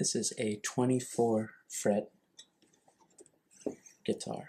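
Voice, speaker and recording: Soft-spoken and somewhat breathy, a man talks at a very slow pace in a dark, mellow tone with ordinary pitch variation. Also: medium pitch for a man. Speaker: ASMR creator. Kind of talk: ASMR object walkthrough. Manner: softly spoken.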